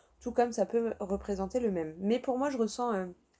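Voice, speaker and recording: Talking at a fairly quick pace, a woman has a southern French accent and a fairly high pitch with ordinary variation. Her tone is dark and mellow, on a very clean recording with a silent background. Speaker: tarot card reader. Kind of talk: tarot reading. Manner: casual, chatty.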